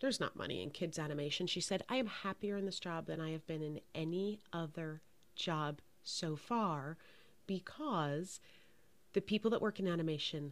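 A plain, everyday voice from a woman, fairly low in pitch with ordinary pitch variation, at a moderate pace in a very clean recording with a silent background. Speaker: podcast host, leadership coach, former casting executive. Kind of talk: casual interview. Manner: warm, effusive.

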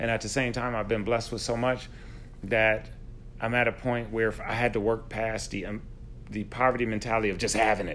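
The speaker has an American accent and talks at a fairly quick pace. The intonation stays monotone and flat. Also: man, medium pitch for a man. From upstate New York (Buffalo). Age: 40s. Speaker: podcast host, teacher. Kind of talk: casual interview chat.

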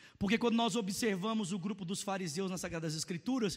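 Animated in tone, a man with a Brazilian accent talks at a fairly quick pace. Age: 30s. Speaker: pastor. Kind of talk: sermon. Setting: church service with congregation.

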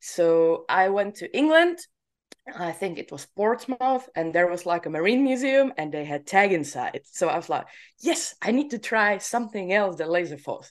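Speaking with a Czech accent over a quiet background, a woman with a medium pitch makes very wide pitch swings. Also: moderate pace. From Czech Republic. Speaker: laser tag player and podcaster. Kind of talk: casual interview chat. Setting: remote call.

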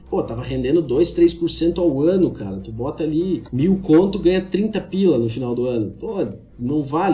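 Over noticeable background noise, a man speaks with a fairly high pitch and lively intonation. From Santa Catarina, Brazil (Xanxerê). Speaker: agronomist and agricultural market analyst. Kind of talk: casual podcast interview.

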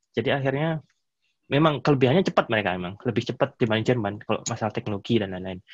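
The speech comes at a very fast pace with ordinary pitch variation, recorded with a dry, close sound with no echo and a quiet background. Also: man, medium pitch for a man. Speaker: engineering professor. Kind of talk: casual interview. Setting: video call.

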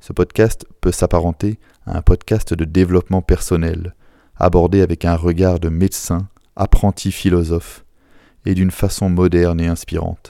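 On a very clean recording with a silent background and a dry, close sound with no echo, a man speaks in a very deep, low, monotone, flat voice with a dark, mellow tone. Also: moderate pace. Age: 30s. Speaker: doctor and podcast host. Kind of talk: scripted monologue.

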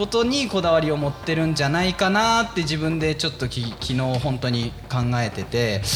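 Over noticeable background noise, a man with a fairly high pitch talks at a moderate pace with hardly any pauses and very wide pitch swings. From Fukushima, Japan (Iwaki). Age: 30s. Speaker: taiko drummer and stage performer. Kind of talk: casual chat.

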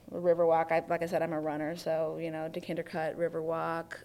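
In a very clean recording with a silent background, a woman with an American accent uses an ordinary speaking voice at a fairly low pitch. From US Midwest, Oakland County, Michigan (Detroit suburbs). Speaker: journalist and author. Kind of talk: casual interview. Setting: video recording.

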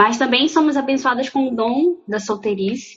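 The voice is somewhat breathy with lively intonation. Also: woman. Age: 20s. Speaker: law student. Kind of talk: casual chat. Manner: halting.

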